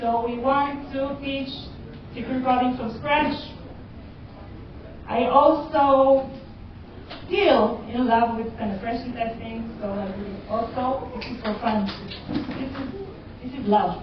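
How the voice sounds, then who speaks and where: The speaker has a non-native accent, talks at a very slow pace with long, frequent pauses, and shows ordinary pitch variation. Audible room echo and noticeable background noise are present. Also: woman, high pitch for a woman. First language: not English. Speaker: cybersecurity educator. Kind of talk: conference talk. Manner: halting.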